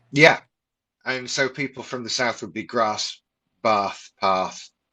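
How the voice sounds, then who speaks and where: With a slight Yorkshire accent, a man talks at a very slow pace in a medium pitch that varies in an ordinary way. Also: long, frequent pauses, big swings in loudness. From Doncaster, Yorkshire, northern England. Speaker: voiceover artist. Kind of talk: casual chat. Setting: live stream.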